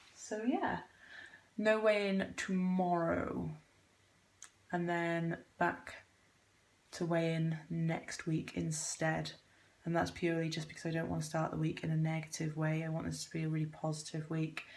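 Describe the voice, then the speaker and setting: Quiet and fairly low-pitched, a woman speaks with a British accent at a moderate pace. Her intonation is fairly even, with long, frequent pauses. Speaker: vlogger. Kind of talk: casual vlog. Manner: quiet, monotone.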